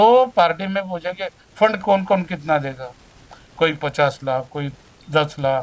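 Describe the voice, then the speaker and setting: This man speaks with lively intonation. His voice sits at a high pitch. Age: 70s. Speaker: politician. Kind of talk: interview.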